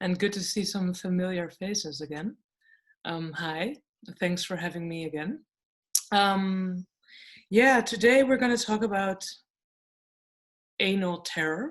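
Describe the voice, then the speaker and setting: A woman talks with a Dutch accent at a fairly slow pace. Her speech has long, frequent pauses. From Netherlands. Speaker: lecturer and writer. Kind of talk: online lecture.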